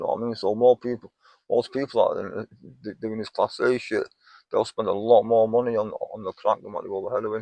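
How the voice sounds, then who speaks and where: A very fast delivery in a Manchester accent, with big swings in loudness and a dry, close sound free of echo. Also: man. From northern England. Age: 50s. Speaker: homeless man, recovering heroin user. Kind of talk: interview. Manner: repetitive, halting.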